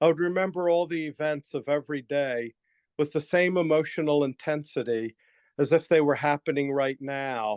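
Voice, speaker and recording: With an ordinary speaking voice, a man talks at a moderate pace in a fairly high pitch and fairly even intonation. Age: 60s. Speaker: writer and guest with superior memory. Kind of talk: interview.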